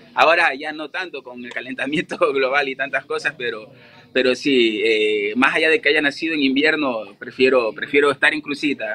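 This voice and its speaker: At a moderate pace, a man with a fairly high pitch and a coastal Ecuadorian accent speaks with ordinary pitch variation and big swings in loudness. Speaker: university lecturer and translator; university lecturer. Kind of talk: casual interview. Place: home room. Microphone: video call.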